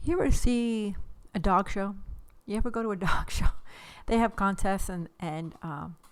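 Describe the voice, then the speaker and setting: At a moderate pace and medium pitch, a woman speaks with ordinary pitch variation, big swings in loudness and long, frequent pauses, in a very clean recording with a silent background. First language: Spanish. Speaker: podcast guest, wife of host. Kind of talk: casual chat.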